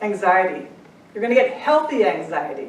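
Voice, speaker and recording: Speaking with an American accent, a woman uses a fairly high pitch with very wide swings at a moderate pace. Noticeable background noise and audible room echo surround her. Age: 60s. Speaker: angel intuitive and life coach. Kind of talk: inspirational talk. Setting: stage with audience.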